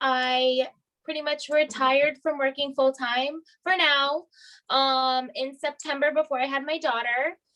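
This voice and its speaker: Raised and projected, a woman's high-pitched voice has a bright, sharp tone and flat, monotone intonation, moving at a fairly slow pace. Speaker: direct sales star director. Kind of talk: training talk on video call.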